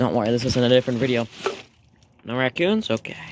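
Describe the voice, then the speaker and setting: A man at medium pitch talks with noticeable background noise behind him. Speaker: DIY mechanic video creator. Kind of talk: casual vlog narration while working. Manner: quiet, trying not to wake dad; casual, filler-heavy.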